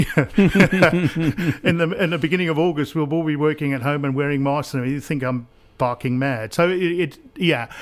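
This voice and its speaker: Ordinary pitch variation at a moderate pace. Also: man. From South Africa (Pretoria), born in Essex. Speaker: business coach, former helicopter pilot. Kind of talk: radio interview. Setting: radio studio. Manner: halting, many repeated words.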